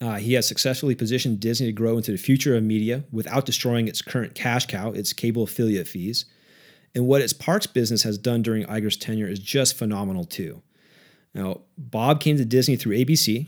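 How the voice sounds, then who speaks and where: A man with an ordinary speaking voice, medium pitch, and fairly quick pace, on a very clean recording with a silent background. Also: ordinary pitch variation. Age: 40s. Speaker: portfolio manager and podcast host. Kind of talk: solo commentary on investing. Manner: casual with filler words.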